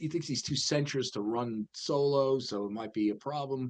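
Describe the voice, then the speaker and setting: A man with an American accent, medium pitch, ordinary pitch variation and an animated tone. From New York suburbs. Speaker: financial news show host. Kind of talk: casual market chat podcast. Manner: animated, halting with many fillers.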